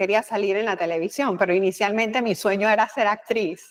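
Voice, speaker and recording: A woman speaks with a Panamanian accent at a very fast pace. Her pitch is fairly high. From Panama, Colón (Atlantic side). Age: 50s. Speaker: communication expert, former news presenter and politician. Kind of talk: interview.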